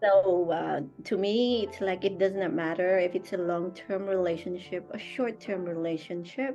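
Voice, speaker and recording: A woman of medium pitch speaks at a moderate pace, music playing in the background. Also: ordinary pitch variation. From Philippines. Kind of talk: interview answer. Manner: outspoken, joyous.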